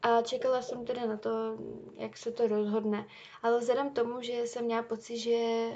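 A woman's fairly high-pitched voice with a dark, mellow tone, monotone and flat in intonation, at a moderate pace. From Czech Republic. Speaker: university student podcaster. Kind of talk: casual monologue.

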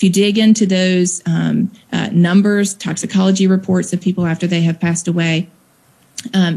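A woman's somewhat breathy, medium-pitched voice with a Southern US accent and ordinary pitch variation. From Mississippi, US South. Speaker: nonprofit founder, drug policy advocate. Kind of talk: interview.

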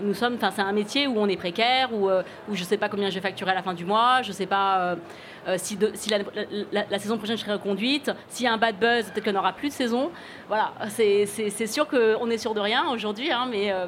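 A woman at a medium pitch, fairly quick in pace, with ordinary pitch variation. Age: 40s. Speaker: podcast host and author. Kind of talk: live podcast interview. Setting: stage with audience. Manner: halting.

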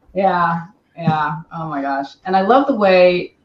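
Music in the background accompanies a woman speaking at a very slow pace with ordinary pitch variation. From Paris. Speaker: talent agency owner and podcast host. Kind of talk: casual chat.

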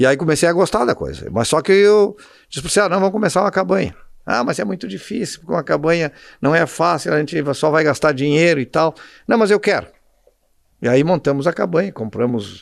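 Against a quiet background, a man talks at a fairly quick pace with a fairly high pitch. His intonation is lively, and his voice has vocal fry. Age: 60s. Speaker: endurance horse rider and shopkeeper. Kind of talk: casual interview. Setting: in his shop.

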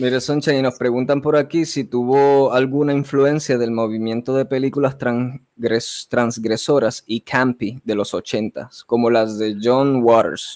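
A man speaks in a plain, everyday voice at a medium pitch, at a fairly slow pace with hardly any pauses. The recording is very clean with a silent background, and the sound is dry and close with no echo. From Puerto Rico (Vega Baja). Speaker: podcast host. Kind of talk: interview.

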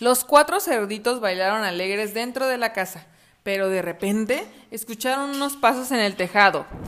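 Ordinary pitch variation in a natural reading voice.

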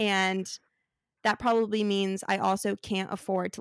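Her voice is medium in pitch, monotone and flat, with an American accent. This woman is heard in a dry, close sound with no echo on a very clean recording with a silent background. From Arizona. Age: 20s. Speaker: podcast host, recent graduate. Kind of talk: casual chat.

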